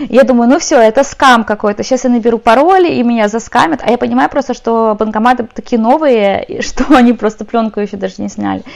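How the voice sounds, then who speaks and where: Very fast speech with ordinary pitch variation. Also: woman, fairly high pitch for a woman. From Ukraine, moved to Ireland as a teen. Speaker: tech company support specialist. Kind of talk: casual chat.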